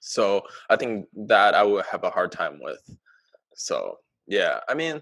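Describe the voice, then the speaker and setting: Long, frequent pauses break up a man's fairly slow delivery. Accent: Chinese. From China. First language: Mandarin. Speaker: podcast co-host. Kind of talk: casual chat. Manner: halting.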